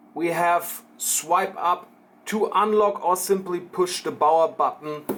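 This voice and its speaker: The speaker has a German accent. The pace is very slow. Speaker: tech shop presenter. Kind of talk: product unboxing demo.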